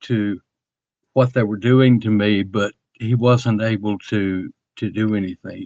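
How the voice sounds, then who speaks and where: A man of medium pitch with a Southern US accent, fairly even intonation and a fairly slow pace, in a dry, close sound with no echo. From US South, rural Alabama. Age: 80s+. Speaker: alleged alien abductee. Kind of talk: interview testimony. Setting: online audio space. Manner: halting, many repetitions.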